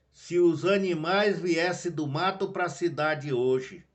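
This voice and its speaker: A man is speaking. He goes very slowly. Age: 70s. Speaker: lay preacher. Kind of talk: sermon. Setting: home video live stream.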